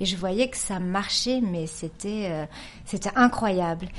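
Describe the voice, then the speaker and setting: The voice moves at a very slow pace. Its pitch varies in an ordinary way. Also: woman. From French Basque Country. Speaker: crystal healer and make-up artist. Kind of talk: interview.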